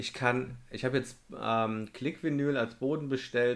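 Over a very clean recording with a silent background, a man uses an ordinary speaking voice at medium pitch and a moderate pace, with fairly even intonation. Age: 30s. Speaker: podcast host, van converter. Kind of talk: casual chat.

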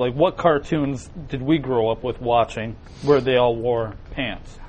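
A man talks at a fairly slow pace in a medium pitch with fairly even intonation. He has a plain, everyday voice. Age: 30s. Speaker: web show co-host. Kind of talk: casual chat.

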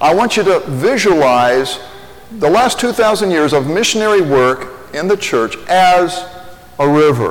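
A man's high-pitched voice in a Midwestern American accent, with very wide pitch swings, a fairly slow pace and very even loudness, plus audible room echo and noticeable background noise. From Indiana (Lafayette). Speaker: pastor. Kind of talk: sermon.

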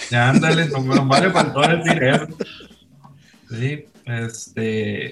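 A man with a fairly high voice speaks fairly slowly, with ordinary pitch variation and long, frequent pauses. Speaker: rock musician. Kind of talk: casual chat.

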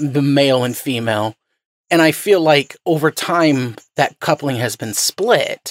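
A man with an unremarkable speaking voice and fairly high pitch speaks at a fairly slow pace with lively intonation, in a dry, close sound with no echo. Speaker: podcast host. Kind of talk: interview.

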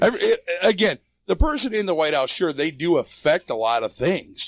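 A man's normal speaking voice with an American accent, lively intonation and a moderate pace. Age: 40s. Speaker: truck driver. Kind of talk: casual chat.

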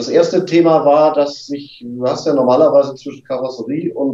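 A man's fairly high voice with a dark, mellow tone, fairly even intonation and a moderate pace. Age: 50s. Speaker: rally participant, engineer. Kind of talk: casual interview.

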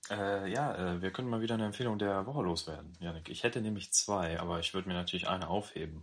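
A man's fairly low voice at a very fast pace, with hardly any pauses and ordinary pitch variation. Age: 30s. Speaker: podcast co-host. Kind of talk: casual chat.

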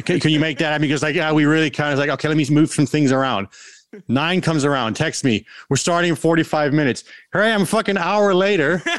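A man talks at a very fast pace in a fairly high voice. His loudness is very even, with ordinary pitch variation. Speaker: musician. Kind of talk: casual chat. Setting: video call.

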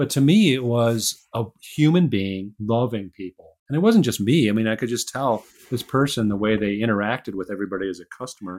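On a very clean recording with a silent background, a man with a Midwestern US accent speaks at a fairly quick pace with ordinary pitch variation. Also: medium pitch for a man. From Chicago, US Midwest. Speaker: author and engineer. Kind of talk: interview conversation.

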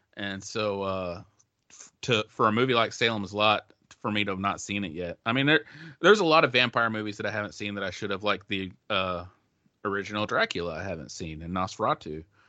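Using an ordinary speaking voice, a man speaks at a fairly quick pace in a fairly low pitch, with ordinary pitch variation. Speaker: guest composer of the theme song. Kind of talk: casual chat. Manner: joking, playful.

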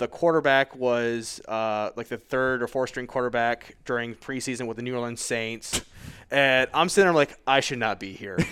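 In a very clean recording with a silent background, a man has an ordinary speaking voice at medium pitch, moderate pace, and ordinary pitch variation. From Michigan. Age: 30s. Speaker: high school football coach. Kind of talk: casual interview.

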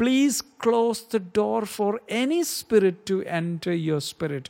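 Speaking very slowly with an Indian accent, a man swings his pitch very widely. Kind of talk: religious monologue.

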